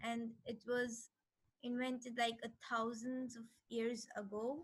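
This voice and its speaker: A woman speaks in an Indian accent at a very slow pace. Her fairly high voice has a monotone, flat intonation. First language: Hindi. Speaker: language workshop teacher. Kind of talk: lecture.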